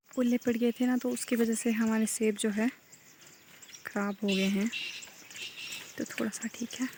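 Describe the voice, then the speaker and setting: Soft-spoken and fairly high-pitched, a woman talks at a moderate pace in a monotone, flat way. Her long, frequent pauses sit against noticeable background noise. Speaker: vlogger. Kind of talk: casual vlog narration. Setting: outdoors in garden. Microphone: too quiet.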